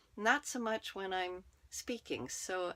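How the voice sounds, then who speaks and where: A woman speaks in a soft-spoken way. Her pitch sits in the medium range. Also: very clean recording, silent background. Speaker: network marketer and podcaster. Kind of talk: personal monologue. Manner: slow.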